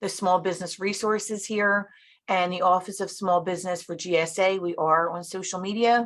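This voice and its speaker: A woman's medium-pitched voice with fairly even intonation. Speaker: government customer service director. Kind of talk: webinar presentation. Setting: virtual event. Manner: fast.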